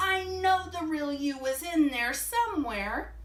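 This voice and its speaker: Using a put-on character voice, a woman speaks in a high pitch at a fairly slow pace. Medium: read story. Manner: gentle, kind.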